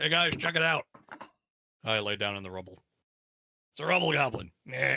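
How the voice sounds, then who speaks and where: Someone uses a raspy put-on character voice at a fairly quick pace, with very wide pitch swings. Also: man, medium pitch for a man, dry, close sound with no echo. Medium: actual play. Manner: folksy.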